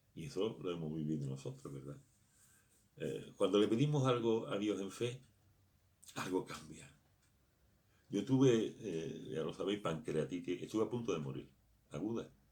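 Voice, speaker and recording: With long, frequent pauses at a moderate pace, a man speaks in a dark, mellow tone with vocal fry, his fairly low pitch moving in very wide swings. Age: 60s. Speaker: pastor. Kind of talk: sermon.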